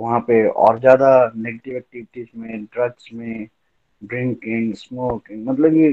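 A man of medium pitch in a normal speaking voice, with ordinary pitch variation. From Chamba, Himachal Pradesh, India. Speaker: lawyer. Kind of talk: testimony.

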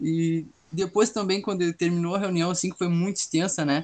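This man has a high pitch. His intonation stays fairly even. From southern Brazil, Pelotas. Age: young. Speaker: university student. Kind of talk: casual chat.

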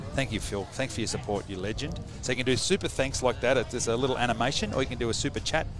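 An excited man at a medium pitch rushes along very fast with hardly any pauses and ordinary pitch variation, noticeable background noise behind him. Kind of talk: live sports commentary. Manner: quick, excited call with a laugh.

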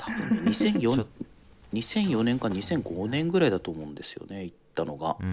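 This man's pitch swings very widely and his loudness rises and falls a lot, with hardly any pauses. Noticeable background noise sits behind him. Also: medium pitch for a man, fairly slow pace. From Japan, Toyama prefecture. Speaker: guest, food import businessman. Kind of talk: casual chat. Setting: remote call from New Zealand.

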